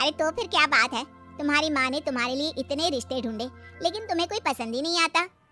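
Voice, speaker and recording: With faint music in the background, a woman does a high-pitched cartoonish character voice at a fairly quick pace. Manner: familiar, coaxing.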